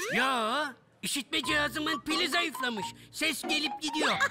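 A cartoonish character voice speaks at a moderate pace over faint music in the background. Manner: dreamy, nostalgic.

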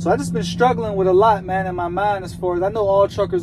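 A man delivers his words fairly quickly while noticeable background noise carries on. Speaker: truck driver vlogger. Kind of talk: casual vlog chat. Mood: reflective, motivated. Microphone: phone near.

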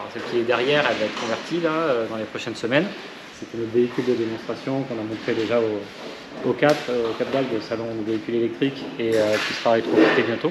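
A man talks at a fairly quick pace with ordinary pitch variation over noticeable background noise. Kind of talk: interview answer. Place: garage. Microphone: phone near.

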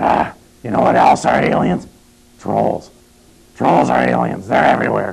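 Using a put-on character voice, a man growls in a raspy, very deep, low pitch with long, frequent pauses. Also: moderate pace. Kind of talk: comedic low-budget horror host banter.

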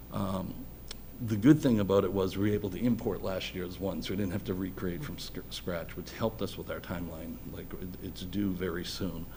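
Audible room echo surrounds a man with an American accent who speaks at a fairly quick pace in a very deep, low, dark, mellow voice that is somewhat breathy. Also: ordinary pitch variation. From Boston area (Dorchester). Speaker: electrical engineer and school building committee volunteer. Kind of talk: public meeting presentation. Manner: halting.

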